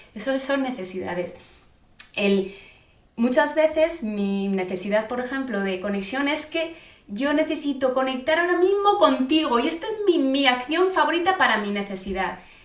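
A woman speaks at a moderate pace in a high voice with very wide pitch swings, with audible room echo and noticeable background noise. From Spain, Zaragoza. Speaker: nonviolent communication trainer and mother of triplets. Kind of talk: interview about parenting. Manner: halting, with frequent repetitions.

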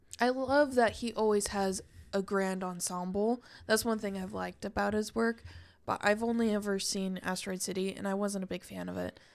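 Here is an unremarkable speaking voice. Its intonation stays fairly even at a moderate pace. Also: woman, medium pitch for a woman, very clean recording, silent background. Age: 20s. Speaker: podcast co-host. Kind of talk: casual chat.

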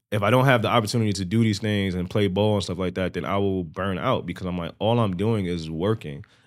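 In a very clean recording with a silent background, a man with a Bronx accent speaks at a fairly quick pace with fairly even intonation. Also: fairly low pitch for a man. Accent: New York, Bronx. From New York, the Bronx. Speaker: rapper. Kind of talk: casual chat.

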